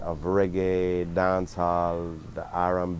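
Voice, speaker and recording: In a Jamaican accent, a man speaks at a very deep, low pitch. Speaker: reggae singer. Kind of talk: interview answers. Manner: halting, many fillers.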